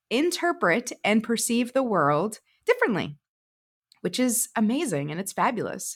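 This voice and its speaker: The recording is very clean and the background silent. A woman talks fairly slowly. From Canada (Ontario, then Nova Scotia). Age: 40s. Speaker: podcast host. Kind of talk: solo monologue. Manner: casual, hesitant with many fillers.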